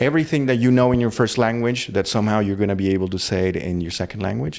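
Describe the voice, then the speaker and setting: At a very fast pace, a man speaks with a Spanish accent and a fairly low pitch. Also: ordinary pitch variation. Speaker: university professor. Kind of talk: interview conversation.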